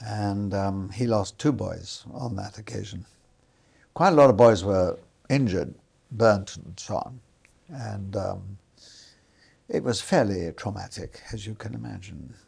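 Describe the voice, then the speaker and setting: With vocal fry and a fairly low pitch, a man talks at a fairly slow pace with long, frequent pauses and ordinary pitch variation, on a very clean recording with a silent background. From London, England. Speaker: retired film industry worker. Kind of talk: oral history interview. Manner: halting, many fillers.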